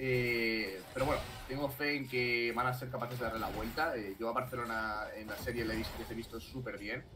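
A man speaks at medium pitch in an animated tone. Noticeable background noise runs behind him. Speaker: esports caster. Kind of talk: live esports commentary. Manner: animated, fast, excitable play-by-play.

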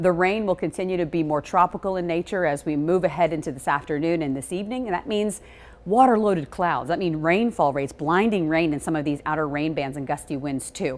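A woman at a fairly low pitch, with ordinary pitch variation and a very fast pace. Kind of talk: weather forecast presentation. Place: studio. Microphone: lapel.

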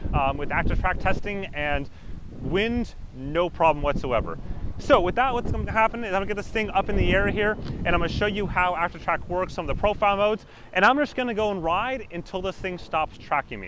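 With noticeable background noise but no echo, a man speaks fairly quickly in a high voice with ordinary pitch variation. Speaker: product reviewer. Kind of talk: tutorial review presented to camera. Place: open country.

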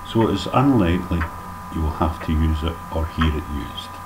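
Loud background noise runs under the recording. Through it, a man speaks with a very deep, low pitch. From Scotland. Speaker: dialect teacher. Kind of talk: comedic language lesson narration. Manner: mock-formal, tongue-in-cheek. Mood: dry humorous. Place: home room. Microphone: webcam.

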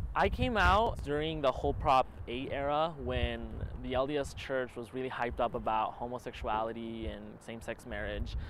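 A man keeps a moderate pace in a dry sound with no echo, light noise behind him. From Utah, US (immigrated from Argentina at seven). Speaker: documentary interviewee, student filmmaker; interviewee. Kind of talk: personal testimony. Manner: halting, with repetitions. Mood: reflective, earnest.

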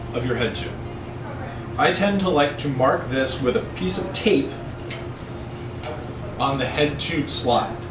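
Music plays in the background as a man speaks at a fairly slow pace. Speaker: bike frame building instructor. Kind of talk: tutorial.

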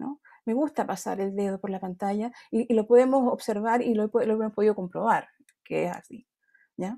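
Fairly high-pitched woman with a dark, mellow tone and ordinary pitch variation against a quiet background. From grew up outside Chile. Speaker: design academic; design lecturer or panelist. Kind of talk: panel presentation. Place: home room. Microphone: earbuds.

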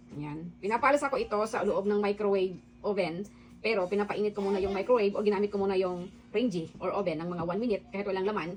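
Noticeable background noise sits behind a woman talking at a very fast pace, her medium pitch showing ordinary variation. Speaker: home cooking vlogger. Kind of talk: cooking tutorial. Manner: casual, chatty.

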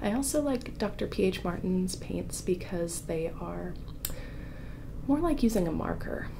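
Against noticeable background noise, a soft-spoken woman talks at a fairly slow pace. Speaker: artist, former ASMR creator. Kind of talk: ASMR painting tutorial chat. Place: home room.

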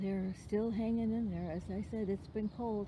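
A woman speaks in a somewhat breathy voice with a dark, mellow tone and fairly even intonation. Noticeable background noise can be heard. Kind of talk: casual vlog chat. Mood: admiring, gentle. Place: garden. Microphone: phone near.

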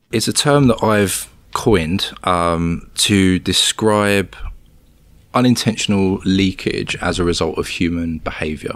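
With a British accent, a man talks at a very slow pace in a fairly low pitch, his pitch varying an ordinary amount. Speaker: cybersecurity researcher. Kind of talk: interview. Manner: halting, many fillers.

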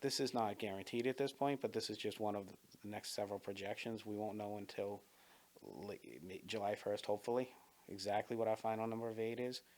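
A man talks at a fairly quick pace in a fairly low pitch. His intonation stays fairly even. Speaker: school board candidate. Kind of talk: interview. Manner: fast.

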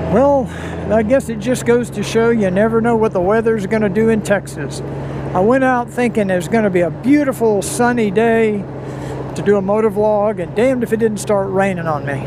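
Fairly quick speech, dry with no echo, amid noticeable background noise. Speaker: motovlogger. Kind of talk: casual vlog chat. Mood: cheerful, amused. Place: motorbike. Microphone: helmet.

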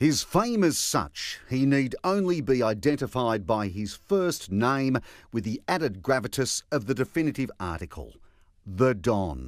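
On a very clean recording with a silent background, a man with an Australian accent speaks at a fairly slow pace and medium pitch, with very wide pitch swings. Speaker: TV news reporter. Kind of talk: news report narration.

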